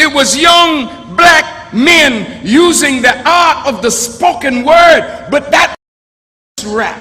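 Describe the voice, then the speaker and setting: At a very slow pace, a man uses a raised, projected voice with an extremely high pitch and ordinary pitch variation. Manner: oratorical, rhetorical.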